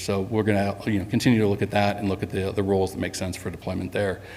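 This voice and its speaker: A man's fairly low voice, monotone and flat, at a very fast pace, with audible room echo. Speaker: software company executive presenting to customers. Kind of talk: conference presentation. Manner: frequent fillers (um, uh).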